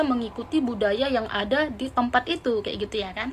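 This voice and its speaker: The intonation is lively, and there is noticeable background noise. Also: woman. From Indonesia (Batak). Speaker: vlogger. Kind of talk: vlog commentary.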